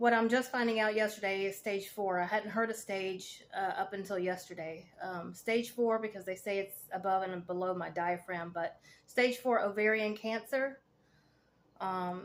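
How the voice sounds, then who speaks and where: With a Southern US accent, a woman speaks at a medium pitch with fairly even intonation. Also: moderate pace. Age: 40s. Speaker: cancer patient vlogger, veteran, fitness coach. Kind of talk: casual vlog monologue. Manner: hesitant, many fillers.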